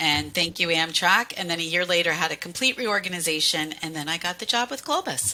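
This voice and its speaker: A woman talks with a US Northeastern accent and lively intonation. Her pitch is fairly low, with noticeable background noise behind her. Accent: US Northeast. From Pennsylvania, US Northeast. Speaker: cruise line sales manager. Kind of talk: casual interview.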